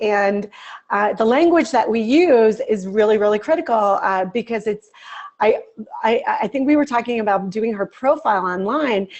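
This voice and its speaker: A woman's fairly high voice with lively intonation at a moderate pace. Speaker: executive coach. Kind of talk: lecture. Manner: animated. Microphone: webcam.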